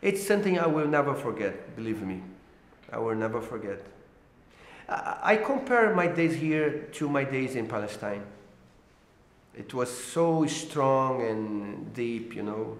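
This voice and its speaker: Very wide pitch swings at a fairly slow pace, with long, frequent pauses and audible room echo. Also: man, medium pitch for a man. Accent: Brazilian. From Brazil. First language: Portuguese. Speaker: political cartoonist. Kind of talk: interview. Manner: halting, many fillers and repeats.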